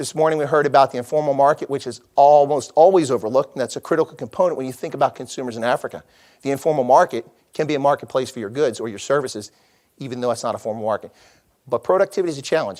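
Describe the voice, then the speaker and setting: Very fast speech comes from a man with a fairly high pitch and ordinary pitch variation. The sound is dry and close, with no echo. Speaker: conference speaker on trade. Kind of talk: conference talk.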